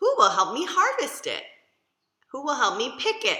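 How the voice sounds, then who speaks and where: A woman puts on a character voice at an extremely high pitch. She keeps a moderate pace. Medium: read story.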